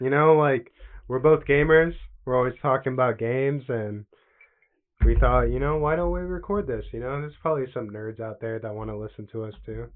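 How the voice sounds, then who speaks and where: This man has an unremarkable speaking voice of medium pitch. He talks at a fairly quick pace with ordinary pitch variation. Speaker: gaming podcast co-host. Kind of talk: casual chat.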